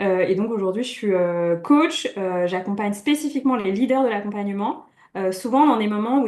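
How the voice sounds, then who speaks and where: Using a plain, everyday voice, a woman speaks at a fairly high pitch and a fairly quick pace. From France, Brittany. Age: 30s. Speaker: coach. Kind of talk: interview.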